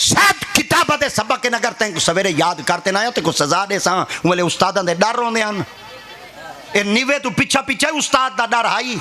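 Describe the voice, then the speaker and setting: A man speaks in a raised, projected voice, high in pitch. His intonation is lively, and there is noticeable background noise. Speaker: religious preacher (peer). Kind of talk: humorous religious sermon (bayan) to an audience. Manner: humorous, storytelling.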